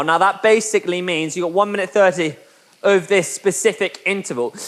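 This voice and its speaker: A man's voice sits high for his sex, with ordinary pitch variation throughout. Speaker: indoor cycling instructor. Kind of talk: guided workout session. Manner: fast; animated, motivational.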